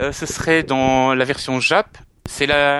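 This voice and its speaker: Bright and sharp in tone, this man's voice sits at a fairly high pitch. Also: dry, close sound with no echo. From Belgium. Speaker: collector and video maker. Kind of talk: casual chat.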